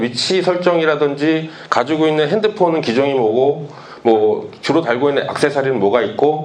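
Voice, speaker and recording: Speaking at a fairly quick pace, a man uses a fairly high pitch and lively intonation. Audible room echo and noticeable background noise are present. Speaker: webtoon artist. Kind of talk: lecture. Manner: hesitant, with pauses.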